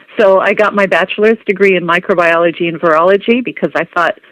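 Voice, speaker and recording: A woman with an American accent talks at a fairly quick pace with a medium pitch in a plain, everyday voice. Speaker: biologist and author. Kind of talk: interview.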